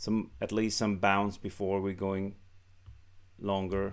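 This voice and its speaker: Heard on a very clean recording with a silent background, a man is talking. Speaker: market trading commentator. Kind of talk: screen-share market analysis. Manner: halting, many fillers.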